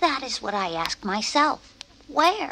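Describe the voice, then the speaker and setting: In a put-on character voice with a timid tone, the speaker goes at a fairly slow pace with very wide pitch swings. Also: female-sounding voice. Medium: read story. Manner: timid, fretful.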